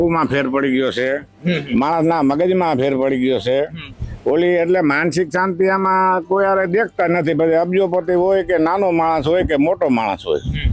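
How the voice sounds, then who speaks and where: This man has a high pitch and ordinary pitch variation. His loudness stays very even. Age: 70s. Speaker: village elder. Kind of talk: interview.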